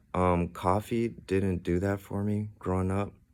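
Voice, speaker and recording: The voice has a monotone, flat intonation and an American accent. The recording is very clean, with a silent background. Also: man. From Ethiopian background, raised in US. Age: 30s. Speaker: vlogger. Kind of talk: personal monologue. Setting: hotel room.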